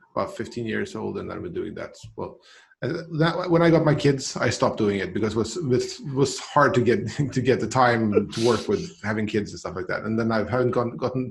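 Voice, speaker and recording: A man with a Swedish accent at a fairly quick pace, medium in pitch, with very wide pitch swings, big swings in loudness and a somewhat breathy sound. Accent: special regional Swedish. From Sweden, island of Gotland. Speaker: CRM professional. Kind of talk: casual interview chat.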